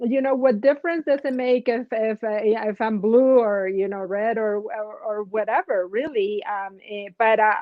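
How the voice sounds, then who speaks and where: A woman with a non-native accent talks at a fairly high pitch with ordinary pitch variation and hardly any pauses. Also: moderate pace. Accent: foreign. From outside the US. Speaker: nurse coach, host. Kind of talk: casual chat.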